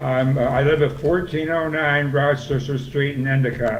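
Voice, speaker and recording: A man talks at a moderate pace in a flat, monotone intonation, with audible echo from the room. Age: 80s+. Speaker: local resident. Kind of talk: public comment.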